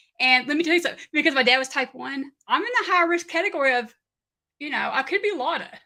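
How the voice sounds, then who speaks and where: A woman with a strong Southern accent talks very fast in a raised, projected voice, high-pitched with a bright, sharp tone and lively intonation, on a very clean recording with a silent background. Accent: heavy Southern. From Kentucky, US South. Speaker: keto diet content creator. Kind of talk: casual live stream chat.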